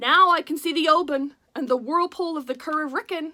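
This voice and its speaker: A woman puts on a character voice with a high pitch. She talks at a fairly quick pace with ordinary pitch variation. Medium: read story. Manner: boastful, grand.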